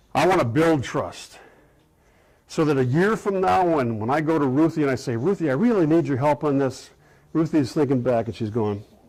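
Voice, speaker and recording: The recording is very clean, with a silent background. A man speaks at a fairly high pitch with lively intonation. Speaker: keynote speaker / change management consultant. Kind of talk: interactive workshop presentation. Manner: fast.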